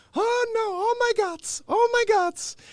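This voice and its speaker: In a put-on character voice, the speaker uses an extremely high pitch and a fairly slow pace. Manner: superstitious, alarmed.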